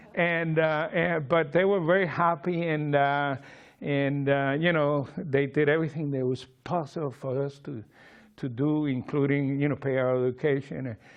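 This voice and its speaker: A man with a Cuban accent talks at a moderate pace with ordinary pitch variation. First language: Spanish. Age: 60s. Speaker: memoir author. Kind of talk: public talk. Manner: halting.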